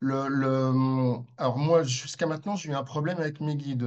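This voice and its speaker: A man keeps a moderate pace while noticeable background noise continues behind him. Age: 60s. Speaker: participant asking questions. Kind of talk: Q&A question. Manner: hesitant, many fillers.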